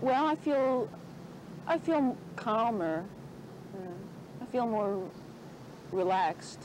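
With very wide pitch swings, the speaker talks at a very slow pace with long, frequent pauses, in a dry sound with no echo and noticeable background noise. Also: woman, fairly high pitch for a woman. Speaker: student at women's institute. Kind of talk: group discussion. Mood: reflective, calm. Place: garden. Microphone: old recording.

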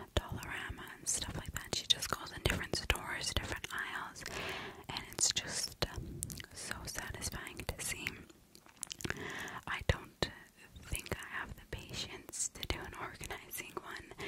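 A woman whispers at a fairly slow pace, stopping often for long pauses. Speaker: ASMR creator. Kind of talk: ASMR whisper ramble. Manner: whispered. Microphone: studio mic.

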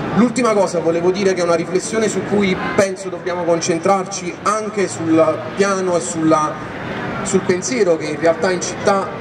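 Over noticeable background noise, a man speaks at a moderate pace. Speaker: speaker. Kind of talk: public political speech. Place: street. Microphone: handheld.

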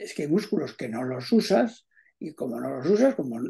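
Against a quiet background, a man with vocal fry and a dark, mellow tone speaks at a moderate pace with very wide pitch swings. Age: 70s. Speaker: amateur tennis player. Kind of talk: casual chat. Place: home room. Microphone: video call.

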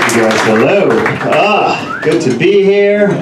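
A man talks amid noticeable background noise and audible room echo. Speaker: stand-up comedian. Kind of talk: stand-up comedy set with audience laughter. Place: stage.

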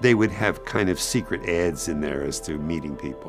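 Clear music plays in the background as a man with a very deep, low pitch speaks at a fairly quick pace. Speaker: retired teacher. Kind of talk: documentary interview answer. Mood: reflective, personal memories. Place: studio.

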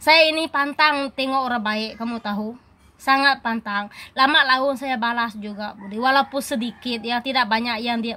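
A woman's bright, sharp tone at a fairly high pitch, fairly quick pace and fairly even intonation, on a very clean recording with a silent background. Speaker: YouTuber. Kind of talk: vlog monologue. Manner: loud.

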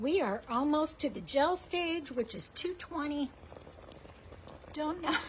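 This woman's voice has a bright, sharp tone. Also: quiet background. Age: 60s. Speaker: homesteader. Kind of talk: casual vlog tutorial. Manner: casual, conversational with fillers. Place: kitchen. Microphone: camera far.

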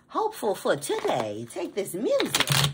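A woman's voice over noticeable background noise. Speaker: tarot reader. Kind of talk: tarot reading. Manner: animated.

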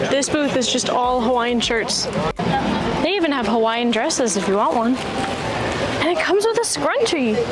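A woman at a moderate pace against loud background noise. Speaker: travel vlogger. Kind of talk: casual vlog chat. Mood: cheerful, upbeat. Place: market. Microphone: lapel.

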